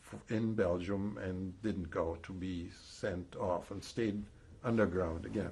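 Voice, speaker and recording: The man's voice sits at a fairly low pitch and is somewhat breathy. His pitch varies in an ordinary way. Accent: slight German. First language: German. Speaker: Holocaust survivor. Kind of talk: testimony. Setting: recorded interview. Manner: halting, with false starts.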